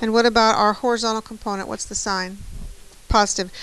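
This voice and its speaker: This is a plain, everyday voice. A woman speaks with a fairly high pitch and fairly even intonation. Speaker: math teacher. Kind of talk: classroom lecture.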